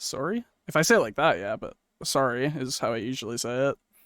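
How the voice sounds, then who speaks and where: The speech comes at a very fast pace with lively intonation. The sound is dry and close, with no echo. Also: man. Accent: Canadian. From Canada. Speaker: podcast co-host. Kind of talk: casual chat.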